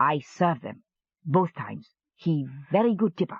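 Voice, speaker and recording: A growling put-on character voice at a middle pitch and moderate pace. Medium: read story. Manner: simple, brief.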